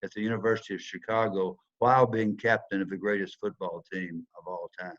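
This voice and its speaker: With a Southern US accent, a man talks at a fairly quick pace and a fairly low pitch. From US South. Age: 70s. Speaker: former football player, speaker. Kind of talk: motivational talk.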